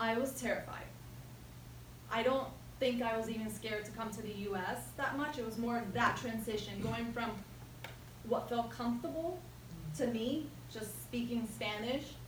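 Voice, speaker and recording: Over noticeable background noise and audible room echo, a woman speaks at a fairly high pitch and a moderate pace, with ordinary pitch variation and long, frequent pauses. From Jersey City, New Jersey (born Ecuador, moved at six). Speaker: toastmasters speaker. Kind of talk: prepared speech.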